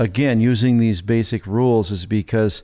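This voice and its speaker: A man with an unremarkable speaking voice talks at a fairly slow pace. The recording is very clean, with a silent background. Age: 60s. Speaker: church show co-host. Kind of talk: casual chat.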